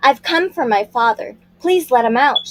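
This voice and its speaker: A woman puts on a character voice pitched high, with lively intonation at a moderate pace. The sound is dry and close, with no echo. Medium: read story. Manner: stern, polite.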